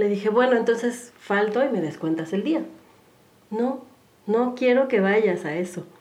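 A woman talks at a fairly slow pace in a fairly high pitch. Room echo can be heard around her voice. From Mexico City. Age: 40s. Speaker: human development consultant and yoga instructor. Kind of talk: casual interview.

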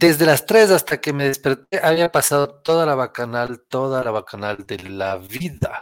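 This man has a normal speaking voice, fairly high in pitch, and talks at a fairly slow pace with hardly any pauses. The sound is dry and close with no echo, in a very clean recording over a silent background. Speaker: podcast guest. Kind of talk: casual chat. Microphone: borrowed computer, says sounds better.

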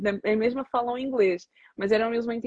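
Somewhat breathy and fairly high in pitch, a woman speaks at a fairly quick pace. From Portugal, of Angolan parents. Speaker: psychologist. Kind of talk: casual interview on a social media live stream. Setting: social media live video stream.

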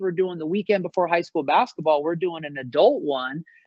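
A man with an American accent. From US Pacific Northwest, Seattle area. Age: 40s. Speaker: basketball coach. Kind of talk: interview.

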